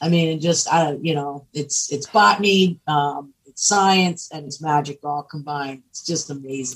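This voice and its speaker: Somewhat breathy, a woman with an American accent talks at a very deep, low pitch and a moderate pace, with ordinary pitch variation and big swings in loudness. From Pennsylvania. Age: 50s. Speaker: cannabis entrepreneur and activist. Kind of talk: podcast interview.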